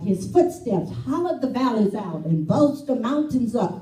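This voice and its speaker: A woman talks with very wide pitch swings. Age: 80s+. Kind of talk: poetry reading. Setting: live event.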